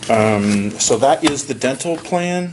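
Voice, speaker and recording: Noticeable background noise runs through the clip. A man talks over it at a fairly slow pace. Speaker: insurance benefits consultant. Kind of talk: business presentation.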